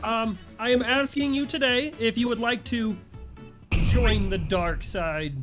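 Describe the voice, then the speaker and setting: Over clear music in the background, a woman performs a put-on character voice, fairly high in pitch and at a fairly slow pace. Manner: tempting, playful.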